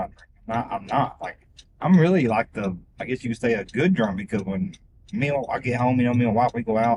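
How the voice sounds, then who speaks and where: A man's very fast, lively speech at medium pitch, with an American accent. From Missouri. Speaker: rideshare passenger. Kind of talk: casual chat.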